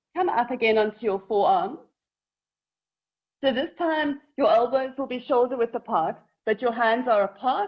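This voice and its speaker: At a moderate pace, a woman speaks with lively intonation. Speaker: yoga teacher. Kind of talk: guided yoga class instruction. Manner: shaky while teaching this pose.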